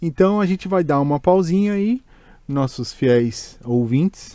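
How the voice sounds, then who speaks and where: A man with a Brazilian accent speaks at a moderate pace in a dark, mellow tone with lively intonation, the sound dry with no echo over a quiet background. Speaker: podcast host. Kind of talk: casual chat. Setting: studio. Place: studio. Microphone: studio mic.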